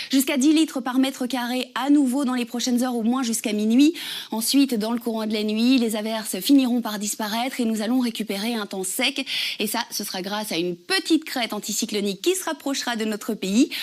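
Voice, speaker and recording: Fairly high for a woman, her voice moves at a fairly quick pace with ordinary pitch variation. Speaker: TV weather presenter and radio host. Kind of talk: TV weather forecast.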